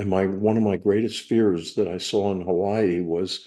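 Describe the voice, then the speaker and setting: In a quiet background, a man with an American accent speaks at a moderate pace in a fairly low, dark, mellow voice with monotone, flat intonation. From US East Coast, outside Philadelphia. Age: 70s. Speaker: recovery meeting speaker. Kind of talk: personal testimony.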